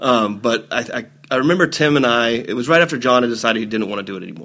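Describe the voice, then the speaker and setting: Talking at a very fast pace, a man has a medium pitch and a bright, sharp tone. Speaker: event organizer and actor. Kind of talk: podcast interview. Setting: studio.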